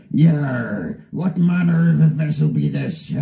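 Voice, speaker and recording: A man speaks at a fairly slow pace in a put-on character voice pitched fairly high. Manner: theatrical, gruff.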